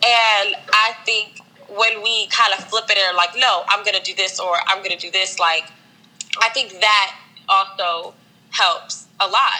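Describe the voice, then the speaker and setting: Against noticeable background noise, a woman talks fairly slowly at a fairly high pitch with fairly even intonation. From Maryland, Silver Spring. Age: 20s. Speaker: fashion stylist. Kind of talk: casual interview.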